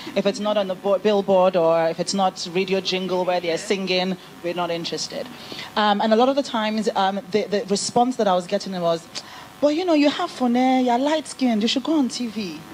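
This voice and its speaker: Over noticeable background noise, a woman at medium pitch talks at a fairly quick pace with ordinary pitch variation. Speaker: business founder, panel speaker. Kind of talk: panel discussion.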